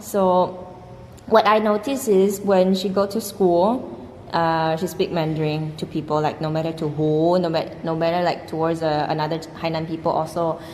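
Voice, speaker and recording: A woman speaks in a fairly low pitch with a Chinese accent. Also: ordinary pitch variation, moderate pace. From China. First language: Mandarin Chinese. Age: 20s. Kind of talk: casual conversation.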